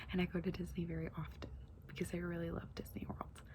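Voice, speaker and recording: The voice is soft-spoken and moves at a fairly quick pace. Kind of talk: ASMR unboxing.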